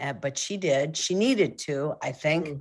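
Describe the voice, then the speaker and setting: A woman at a fairly slow pace against a quiet background. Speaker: guest. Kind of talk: interview answer. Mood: reflective, somber story. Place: home room. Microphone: video call.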